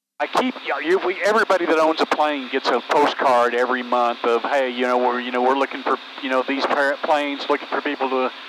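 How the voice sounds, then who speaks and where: With noticeable background noise behind him, a man talks at a very fast pace with hardly any pauses, his medium pitch showing ordinary variation. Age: 70s. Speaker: retiring private pilot, host's father. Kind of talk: casual chat. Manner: halting.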